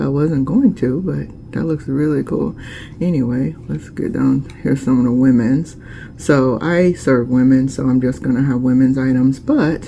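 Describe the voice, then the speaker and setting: Noticeable background noise surrounds a woman with a very deep, low voice. She speaks at a moderate pace with ordinary pitch variation. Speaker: small business owner vlogger. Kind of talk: casual vlog tutorial. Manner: casual, many fillers.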